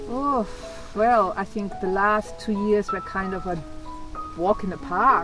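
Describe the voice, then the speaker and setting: Woman at medium pitch, fairly slow with long, frequent pauses and ordinary pitch variation, music in the background. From Germany. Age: 60s. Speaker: vanlifer. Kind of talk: interview answer.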